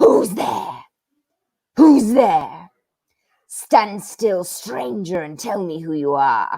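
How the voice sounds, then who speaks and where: In a put-on, growling character voice, a female-sounding speaker goes at a very slow pace with long, frequent pauses. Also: medium pitch for a woman. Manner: threatening, demanding.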